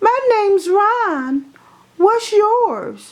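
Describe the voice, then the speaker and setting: In a squeaky, put-on character voice, the woman speaks at an extremely high pitch. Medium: read story. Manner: soft-spoken.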